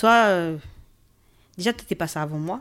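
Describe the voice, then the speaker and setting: In a very clean recording with a silent background, a woman speaks at a moderate pace and fairly low pitch. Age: 30s. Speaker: mother and host's wife. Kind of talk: casual chat.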